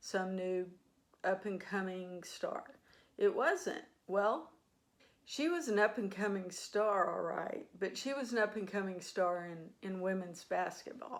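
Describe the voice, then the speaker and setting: This is a plain, everyday voice. It moves at a fairly slow pace with ordinary pitch variation. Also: woman, medium pitch for a woman. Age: 60s. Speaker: sports fan vlogger. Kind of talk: casual monologue.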